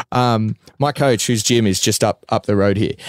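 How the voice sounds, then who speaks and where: Recorded very cleanly against a silent background, with a dry, close sound and no echo, a man with an Australian accent speaks at a moderate pace with ordinary pitch variation. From Australia, Bacchus Marsh near Melbourne. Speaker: mixed martial arts fighter. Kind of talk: casual chat. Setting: in a van.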